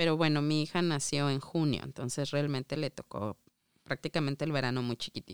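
Very deep and low in pitch, a woman's voice moves at a fairly quick pace with fairly even intonation and a dry, close sound with no echo. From Mexico. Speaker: immigrant mother. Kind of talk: casual interview.

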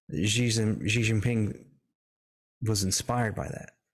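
In a Southern US accent, the voice shows ordinary pitch variation on a very clean recording with a silent background. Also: man. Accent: Southern US (Georgia). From US South, southeast Georgia. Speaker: researcher and podcaster. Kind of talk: interview.

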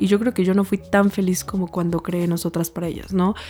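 A woman speaks at a very fast pace with a medium pitch. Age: 20s. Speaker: lawyer and founder of a women's support association. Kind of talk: interview.

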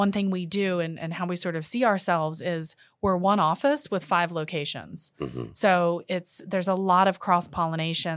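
On a very clean recording with a silent background, a woman with a plain, everyday voice speaks fairly quickly in a fairly low pitch with fairly even intonation. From Washington D.C., US. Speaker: interior design executive. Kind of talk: casual interview.

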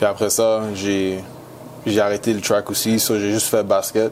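A man's fairly low-pitched voice, monotone and flat, over noticeable background noise. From Montreal, Quebec. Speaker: college football player. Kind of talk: interview.

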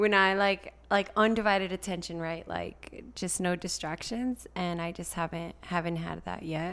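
A woman with a fairly low pitch and fairly even intonation has a plain, everyday voice. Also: moderate pace. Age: 20s. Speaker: teacher and single mom. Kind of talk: casual chat. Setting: home studio in a loft.

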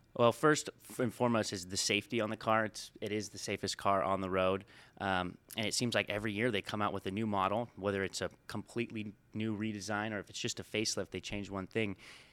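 Very fast and fairly low, a man's voice with an American accent comes through a very clean recording with a silent background and a dry, close sound with no echo. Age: 20s. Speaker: car sales manager. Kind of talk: interview. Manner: energetic.

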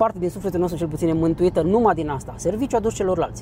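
A high-pitched male voice with ordinary pitch variation and music in the background. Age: 40s. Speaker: psychologist and personal development trainer. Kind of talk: interview.

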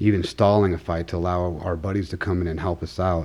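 A man with an American accent, a very deep, low pitch, fairly even intonation and a fairly quick pace, against noticeable background noise. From Arizona, outside Tucson. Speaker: army veteran and self-defense instructor. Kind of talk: interview.

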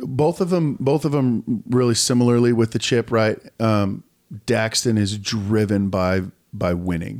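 A plain, everyday voice moves at a fairly slow pace with very even loudness and ordinary pitch variation. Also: man, medium pitch for a man. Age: 40s. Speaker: podcast host and volleyball coach. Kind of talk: casual chat.

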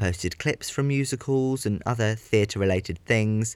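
On a very clean recording with a silent background, a man with a southern English accent speaks at medium pitch and a moderate pace with ordinary pitch variation. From southern England. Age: 20s. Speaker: podcaster and theatre production student. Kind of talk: casual monologue. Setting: home bedroom, under a duvet.

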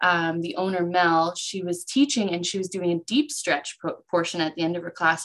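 At a moderate pace, a woman with an unremarkable speaking voice talks at medium pitch. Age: 30s. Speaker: podcast co-host, student and yoga teacher. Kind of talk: casual chat. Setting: video call.

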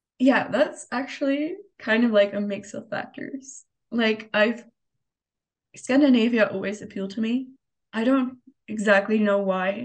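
A woman's fairly high, somewhat breathy voice at a fairly slow pace, with ordinary pitch variation and long, frequent pauses. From Europe, within driving distance of Denmark. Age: 20s. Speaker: student podcast co-host. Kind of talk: casual chat.

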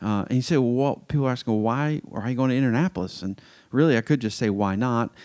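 Recorded very cleanly over a silent background, a man with an American accent speaks in a dark, mellow tone with ordinary pitch variation. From US South, Metro Atlanta. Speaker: podcast host. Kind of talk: casual monologue.

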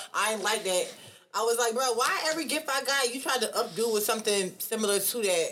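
A woman talks at a fairly quick pace in an animated tone with a fairly high pitch, amid noticeable background noise. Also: ordinary pitch variation. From New York. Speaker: podcast co-host. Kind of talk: casual chat.

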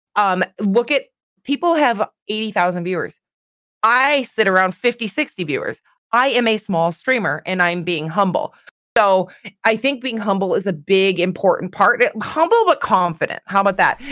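With a Canadian accent and lively intonation, a woman speaks at a moderate pace in an unremarkable speaking voice. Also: medium pitch for a woman, dry, close sound with no echo. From Canada. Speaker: streamer. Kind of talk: casual chat.

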